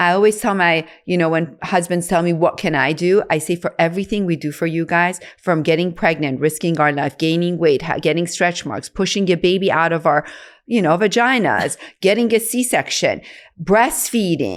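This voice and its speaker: A woman's unremarkable speaking voice at a moderate pace, with ordinary pitch variation, on a very clean recording with a silent background. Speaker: OBGYN doctor. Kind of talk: podcast conversation.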